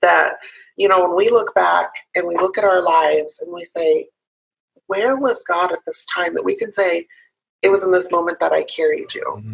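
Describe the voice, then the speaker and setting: The pace is moderate as a woman talks. Her pauses come often and run long. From US Midwest (Illinois), born in South Carolina. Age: 20s. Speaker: activist. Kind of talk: interview. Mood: earnest, reflective. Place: home room. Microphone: video call.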